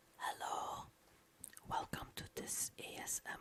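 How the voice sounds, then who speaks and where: Whispering at a very slow pace. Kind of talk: ASMR game tutorial narration. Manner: whispered, soft-spoken.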